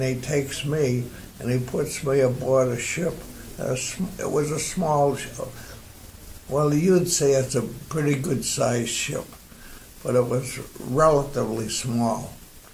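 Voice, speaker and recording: A man with an American accent speaks at a medium pitch, fairly slowly, with fairly even intonation. There are long, frequent pauses and noticeable background noise. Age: 80s+. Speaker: war veteran. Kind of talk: interview answer.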